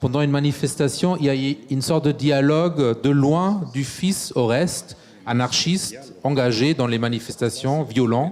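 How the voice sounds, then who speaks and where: A man talks with a fairly high pitch. His pace is moderate and his pitch varies in an ordinary way. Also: very even loudness. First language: German (speaking French). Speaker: moderator, cultural institute director. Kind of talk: panel discussion with reading aloud.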